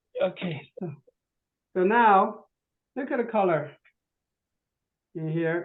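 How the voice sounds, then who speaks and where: The speech moves at a very slow pace, broken by long, frequent pauses. Pitch varies in an ordinary way. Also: man, high pitch for a man. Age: 60s. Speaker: product presenter. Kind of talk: product demonstration. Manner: halting.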